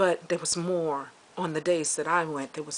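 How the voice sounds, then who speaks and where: The speech moves at a moderate pace with monotone, flat intonation, and noticeable background noise sits behind it. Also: woman. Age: 60s. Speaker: vlogger. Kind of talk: personal video diary. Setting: outdoors, walking with camera. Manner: halting.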